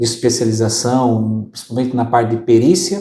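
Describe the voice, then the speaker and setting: A man's dark, mellow, medium-pitched voice in audible room echo. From southern Brazil (Maringá, Paraná). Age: 40s. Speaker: accountant and business consultant. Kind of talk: interview. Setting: office studio.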